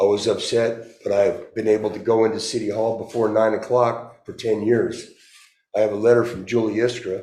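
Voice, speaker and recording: A man's medium-pitched voice, dark and mellow in tone, monotone and flat, at a moderate pace, with audible room echo. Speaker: city council member facing censure. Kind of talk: statement at council meeting. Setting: city council meeting. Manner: loud.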